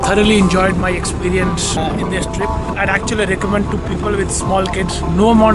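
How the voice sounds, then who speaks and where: A man speaks at a fairly quick pace over loud background music, the sound dry with no echo. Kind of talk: interview answer. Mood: positive, enthusiastic. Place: open country.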